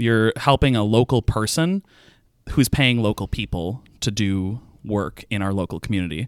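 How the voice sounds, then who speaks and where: A man talks at a moderate pace in an ordinary speaking voice, fairly low in pitch with ordinary pitch variation. The sound is dry and close with no echo, and the recording is very clean, with a silent background. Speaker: entrepreneurship advocate and theater performer. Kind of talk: interview podcast. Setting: studio.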